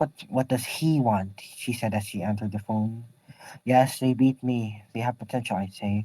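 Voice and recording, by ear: Text is read aloud here in a natural voice.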